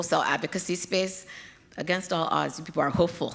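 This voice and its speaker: Noticeable background noise runs beneath a woman speaking in an American accent. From Nigeria, with childhood years in the US. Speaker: pediatric hematologist. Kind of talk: keynote Q&A answers.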